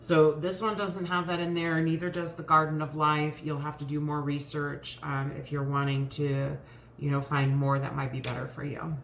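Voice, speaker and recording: A woman's very deep, low voice at a moderate pace, fairly even in intonation, with audible room echo and noticeable background noise. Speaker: lifestyle vlogger. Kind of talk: casual chat. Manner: hesitant, many fillers.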